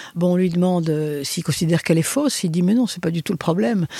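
A woman with a fairly low pitch and a dark, mellow tone speaks with ordinary pitch variation in a dry, close sound with no echo. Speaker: philosopher and author. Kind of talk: interview.

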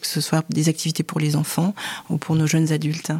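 Over noticeable background noise, a woman with a fairly low voice talks at a fairly quick pace. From Cameroon. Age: 40s. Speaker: church leader and HR director. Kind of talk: interview testimony.

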